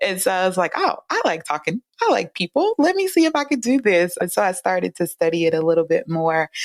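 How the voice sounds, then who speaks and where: In a Southern US accent, the speech moves at a fairly quick pace with hardly any pauses and very even loudness, in a dry, close sound with no echo. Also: woman. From US South, rural Louisiana. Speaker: psychologist. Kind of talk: interview. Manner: soft-spoken; calming.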